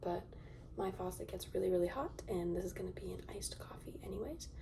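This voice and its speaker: Noticeable background noise behind a fairly quick delivery. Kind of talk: ASMR soft-spoken talk to camera. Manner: soft-spoken.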